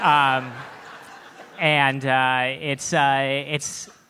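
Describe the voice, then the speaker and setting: With audible room echo and noticeable background noise, a man talks at a fairly high pitch. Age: 20s. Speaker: humorist and writer. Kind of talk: casual interview. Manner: halting, repeats words.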